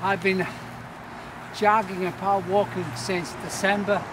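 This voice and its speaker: Noticeable background noise and audible room echo surround this recording. A man speaks in a high voice at a fairly slow pace with fairly even intonation. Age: 70s. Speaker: power walker. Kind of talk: interview. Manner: halting.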